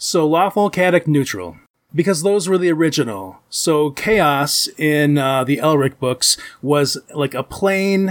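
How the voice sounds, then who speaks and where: Against a silent background in a very clean recording, a man with fairly high pitch speaks at a fairly slow pace with lively intonation and very even loudness. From Michigan. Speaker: convention booth volunteer, podcaster. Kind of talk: casual chat.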